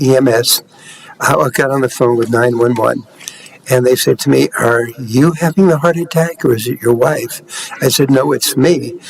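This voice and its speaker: This man has a medium-pitched voice and talks at a moderate pace. There is noticeable background noise. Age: 80s+. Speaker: aging advocate, award winner. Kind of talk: personal testimony.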